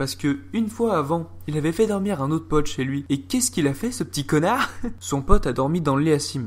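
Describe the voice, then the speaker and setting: Fairly high in pitch, this man talks at a fairly quick pace. His tone is animated, and his pitch swings very widely. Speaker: YouTuber storyteller. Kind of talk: casual storytelling.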